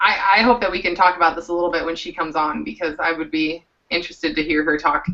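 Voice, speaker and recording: Speaking in a Southern US accent, a woman with a fairly low pitch talks very fast, with hardly any pauses. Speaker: comic book panel host. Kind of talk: casual chat.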